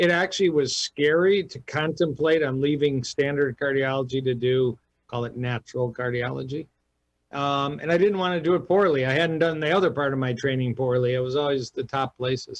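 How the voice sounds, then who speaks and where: In a plain, everyday voice, a man with an American accent speaks at a fairly quick pace, fairly high in pitch with ordinary pitch variation. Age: 60s. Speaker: cardiologist. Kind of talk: radio interview.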